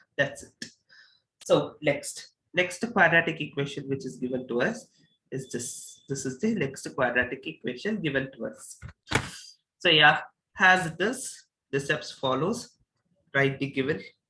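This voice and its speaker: A man's fairly slow, bright and sharp voice with lively intonation, long and frequent pauses, and audible room echo. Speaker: mathematics teacher. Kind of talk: lecture.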